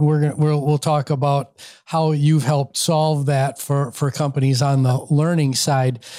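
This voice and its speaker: In a very clean recording with a silent background, a man with a fairly high pitch has a dark, mellow tone. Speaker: podcast host. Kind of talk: interview conversation.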